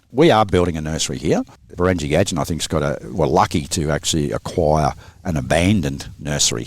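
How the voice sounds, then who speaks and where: A man with an Australian accent, very deep and low in pitch, with vocal fry. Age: 60s. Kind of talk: podcast interview.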